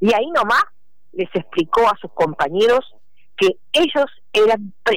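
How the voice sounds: The speaker reads in a natural reading voice.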